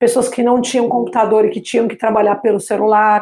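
The woman's voice is fairly high in pitch and has a dark, mellow tone. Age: 40s. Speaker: entrepreneur teaching technology to seniors. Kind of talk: interview.

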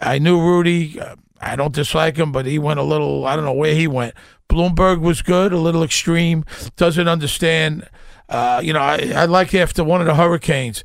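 At a moderate pace, a man with a Brooklyn accent talks at a fairly high pitch with fairly even intonation. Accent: New York (Brooklyn). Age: 60s. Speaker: actor. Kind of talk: casual chat. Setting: studio.

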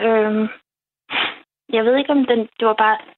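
A fairly high-pitched woman's voice at a moderate pace with ordinary pitch variation. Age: 30s. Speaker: early retiree with PTSD, dream guest. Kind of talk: personal testimony in interview. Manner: halting, many fillers.

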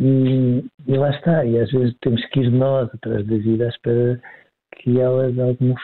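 Here a man speaks in a European Portuguese accent. His pace is moderate. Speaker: psychologist. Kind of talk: expert commentary in casual chat. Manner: hesitant, repeats words.

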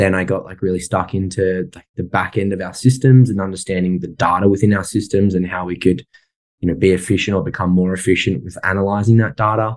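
Over a quiet background, a man with an Australian accent talks at a very fast pace in a very deep, low pitch, with ordinary pitch variation and big jumps in loudness. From Sydney, Australia. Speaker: property investor and software business owner. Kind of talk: casual interview chat.

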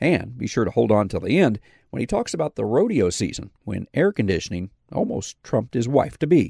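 On a very clean recording with a silent background, a man talks at a fairly quick pace in a dark, mellow tone, with very wide pitch swings and vocal fry. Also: medium pitch for a man, dry, close sound with no echo. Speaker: farm radio podcast host. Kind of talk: host intro and interview.

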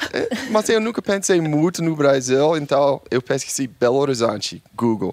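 A man with an English accent speaks at a moderate pace with hardly any pauses, his fairly high pitch swinging very widely. There is noticeable background noise. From New York, US. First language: English (speaking Portuguese). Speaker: social media travel creator. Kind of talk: casual chat.

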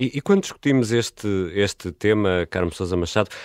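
A man with a normal speaking voice talks at a fairly low pitch with ordinary pitch variation. The very clean recording has a silent background and a dry, close sound with no echo. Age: 40s. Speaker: radio podcast host. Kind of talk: interview; scripted narration.

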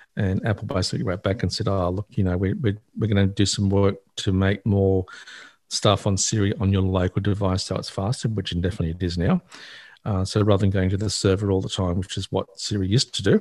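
A man with an Australian accent speaks very fast at a fairly low pitch. His intonation is a flat monotone. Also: very clean recording, silent background. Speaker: access technology advisor, regular tech commentator. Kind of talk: casual radio chat about technology.

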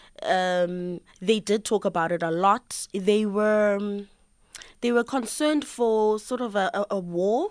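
Speaking at a fairly slow pace, a woman with a South African accent uses ordinary pitch variation. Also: medium pitch for a woman, very clean recording, silent background. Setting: studio.

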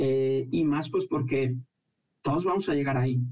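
A dark, mellow, somewhat breathy voice at a fairly slow pace with fairly even intonation. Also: man. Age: 30s. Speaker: financial consultant and business professor. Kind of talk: radio interview. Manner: halting, with many fillers.

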